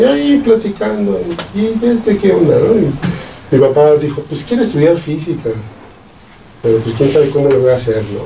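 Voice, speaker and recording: In a room with audible echo and noticeable background noise, a man with a central Mexican accent speaks at a moderate pace in a fairly high pitch, with very wide pitch swings and long, frequent pauses. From central Mexico, Salamanca, Guanajuato. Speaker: physicist and professor. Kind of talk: casual interview, life story.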